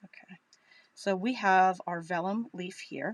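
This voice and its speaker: Delivered at a fairly slow pace with fairly even intonation, the voice has a dry, close sound with no echo. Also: woman, medium pitch for a woman. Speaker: crafting demonstrator.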